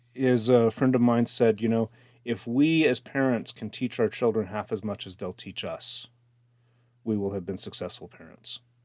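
A man speaks at a medium pitch and a moderate pace, his tone dark and mellow with ordinary pitch variation. The recording is very clean with a silent background, and the sound is dry and close with no echo. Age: 50s. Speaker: composer and guitarist. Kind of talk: casual chat. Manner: halting.

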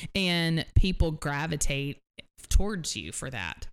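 Very deep and low in pitch, a woman with an American accent speaks at a very slow pace. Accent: Southern US, stronger when talking to family. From southern Tennessee. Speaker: marketing business owner. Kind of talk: casual chat, interview.

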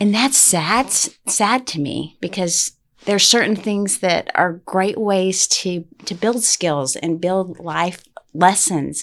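A woman's medium-pitched voice with an American accent, ordinary pitch variation and a very slow pace. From Texas, Utopia (small rural town). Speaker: parent and school board member, educator. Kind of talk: casual chat.

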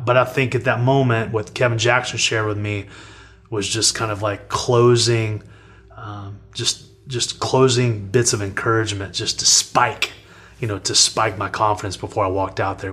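The man's pitch is medium and his intonation monotone and flat. He keeps a moderate pace. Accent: Texan. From Texas, Amarillo. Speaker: Olympic wrestler. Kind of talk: interview storytelling.

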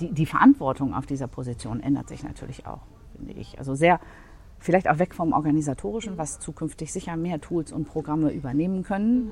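A woman talks very fast in a very deep, low voice with vocal fry. Her intonation is lively and her loudness swings widely. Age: 40s. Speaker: office management consultant. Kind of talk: interview conversation. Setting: coworking space.

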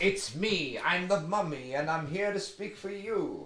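Using a put-on character voice, a man speaks at a high pitch and a moderate pace. Background noise is clearly heard. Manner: spooky, theatrical.

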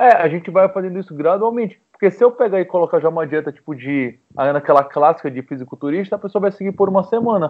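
A man with a high voice talks very fast with lively intonation and hardly any pauses. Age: 20s. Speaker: nutritionist. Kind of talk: casual chat.

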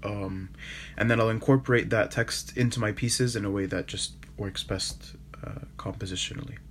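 There is noticeable background noise as a man talks at a fairly low pitch. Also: moderate pace. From Canada, Toronto. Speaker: iconographer and painter. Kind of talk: interview.

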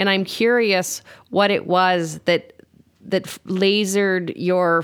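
A woman has a plain, everyday voice, fairly low in pitch, with fairly even intonation. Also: very clean recording, silent background. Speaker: writer and co-host. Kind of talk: casual conversational interview.

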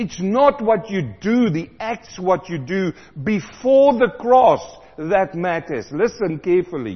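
Slow, high-pitched speech from a man, with big pitch swings and few pauses.

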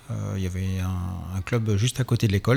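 A man's dark, mellow, somewhat breathy voice holds a fairly even intonation. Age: 40s. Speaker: amateur cross triathlon champion and physiotherapist. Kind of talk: radio interview. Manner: halting, many hesitations.

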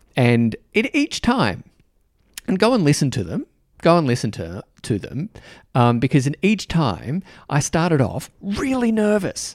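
Recorded very cleanly against a silent background, with a dry, close sound and no echo, a man with an Australian accent speaks at a fairly slow pace and fairly high pitch, his pitch swinging very widely. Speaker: podcast host. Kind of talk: casual chat. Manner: warm, informal, hesitant with fillers.

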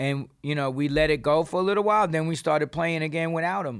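Recorded very cleanly against a silent background, a man with a New York accent speaks at a fairly high pitch and a moderate pace with ordinary pitch variation. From New York City. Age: 50s. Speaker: punk singer and author. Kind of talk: casual chat. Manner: animated.

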